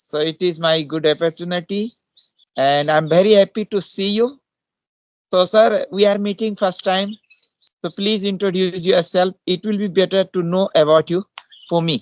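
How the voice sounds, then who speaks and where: Here a man with a high voice speaks at a moderate pace with fairly even intonation. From India, Uttarakhand (Pauri Garhwal). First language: Hindi. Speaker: English teacher. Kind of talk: casual chat. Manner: halting.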